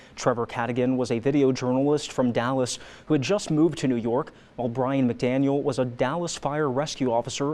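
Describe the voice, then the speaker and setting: A man speaks at a fairly quick pace in a normal speaking voice with a medium pitch. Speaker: news anchor. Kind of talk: TV news anchor read. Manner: clear, measured.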